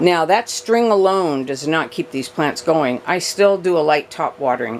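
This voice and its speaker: Lively intonation carries the speech at a moderate pace over noticeable background noise. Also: woman. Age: 60s. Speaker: houseplant youtuber. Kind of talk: casual tutorial. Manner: chatty, conversational.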